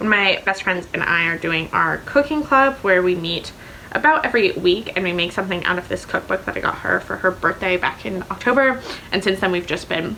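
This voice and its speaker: Over noticeable background noise, a woman talks at a medium pitch and a fairly quick pace. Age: 20s. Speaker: book vlogger. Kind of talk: casual vlog chat. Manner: fast.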